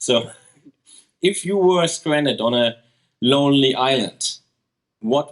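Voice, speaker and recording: Here a man speaks with a German accent. His pitch is medium and varies in an ordinary way. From Germany. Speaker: podcast co-host. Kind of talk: live interview. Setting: stage with audience.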